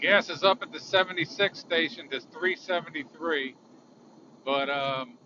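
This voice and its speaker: A man with a high voice speaks at a moderate pace with lively intonation over noticeable background noise. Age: 60s. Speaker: vlogger. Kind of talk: casual monologue while driving. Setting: in a car. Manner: casual, with fillers. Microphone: phone recording, tapping noise from phone holder.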